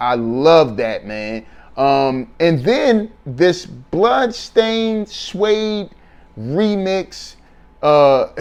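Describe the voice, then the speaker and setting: Very slow and high-pitched, a man with an American accent speaks with very wide pitch swings. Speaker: hip-hop album reviewer. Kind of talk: casual spoken review. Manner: unscripted, off the top of head with many fillers.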